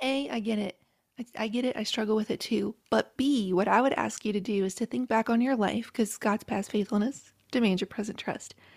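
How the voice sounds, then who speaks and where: An unremarkable speaking voice with an American accent moves at a fairly quick pace with fairly even intonation. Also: woman, fairly high pitch for a woman, dry, close sound with no echo. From rural West Virginia, Appalachia. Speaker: author and podcaster. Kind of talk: casual interview.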